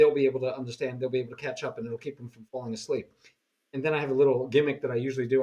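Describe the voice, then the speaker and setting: Very fast speech in a New York accent, with fairly even intonation. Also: man. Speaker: chess teacher. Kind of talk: casual chat. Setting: video call.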